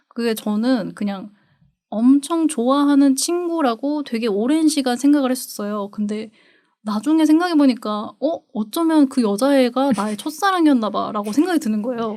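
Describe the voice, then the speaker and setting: A woman with a high pitch and a dark, mellow tone speaks at a moderate pace with lively intonation. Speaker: podcast co-host. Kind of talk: casual chat. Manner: stresses first syllable of phrases strongly.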